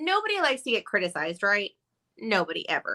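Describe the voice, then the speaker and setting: A woman with an American accent projects a raised, bright, sharp voice with very wide pitch swings, in a very clean recording with a silent background and a dry, close sound with no echo. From Texas. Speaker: podcast co-host. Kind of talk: casual chat. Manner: says like a lot.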